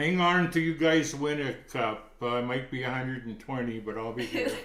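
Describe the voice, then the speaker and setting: Against noticeable background noise and audible room echo, a man speaks at a medium pitch. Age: 70s. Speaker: hockey writer and commentator. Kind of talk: casual chat.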